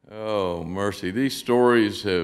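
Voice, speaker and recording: A man's very deep, low voice with an American accent and lively intonation, over light background noise. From Oklahoma. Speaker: storyteller. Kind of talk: live storytelling performance.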